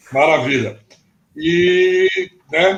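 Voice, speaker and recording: A man talks in a fairly high pitch. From Brazil, São Paulo state interior. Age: 60s. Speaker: former footballer and football coach. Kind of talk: interview storytelling on a live stream. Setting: live video stream.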